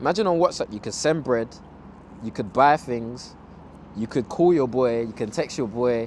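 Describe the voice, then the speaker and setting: Long, frequent pauses break up speech delivered in a London accent. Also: man, medium pitch for a man, ordinary pitch variation, moderate pace. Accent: London multicultural English. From Zimbabwe. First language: Ndebele. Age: 20s. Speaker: fashion designer. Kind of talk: casual interview chat.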